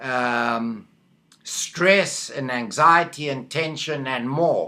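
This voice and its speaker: Very slow speech from a man with a South African accent, a bright, sharp tone and ordinary pitch variation. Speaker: medical hypnotherapist. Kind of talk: video monologue. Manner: halting, with fillers.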